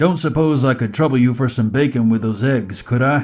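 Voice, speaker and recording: Over faint background music, a man puts on a croaky character voice at a medium pitch. He talks fairly quickly, with very even loudness and ordinary pitch variation. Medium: read story. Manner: good-humored, folksy.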